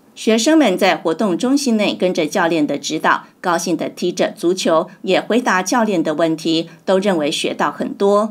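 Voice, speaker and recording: This woman has a plain, everyday voice at a medium pitch. Her intonation is lively, her pace moderate, with hardly any pauses. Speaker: news reporter. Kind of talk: news reading.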